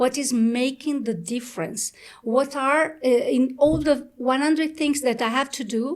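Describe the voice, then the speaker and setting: A woman speaks at a moderate pace with a high voice. Her pitch rises and falls in an ordinary way. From Sicily, Italy. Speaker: executive coach. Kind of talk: interview. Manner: halting, many fillers.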